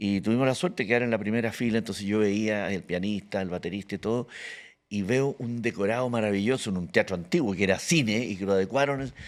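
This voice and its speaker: A man's fairly low voice at a very fast pace, ordinary pitch variation, on a very clean recording with a silent background. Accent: Chilean. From Chile, Santiago (born Antofagasta). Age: 70s. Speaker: actor and comedian. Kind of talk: casual interview chat.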